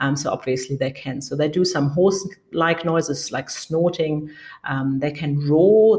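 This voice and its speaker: Speaking with a German accent, the woman has a very deep, low pitch. Her pace is moderate and her pitch variation ordinary. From Germany. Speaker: conservationist, foundation co-director. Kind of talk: interview. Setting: remote call.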